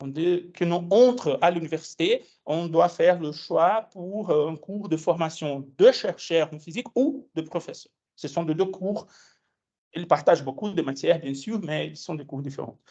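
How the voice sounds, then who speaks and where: A man with a Brazilian accent speaks high and fairly slowly in a dark, mellow tone, with ordinary pitch variation and big swings in loudness. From Brazil, Minas Gerais. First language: Portuguese (speaking French). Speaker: physics education researcher, lecturer. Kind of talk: lecture. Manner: hesitant, many fillers.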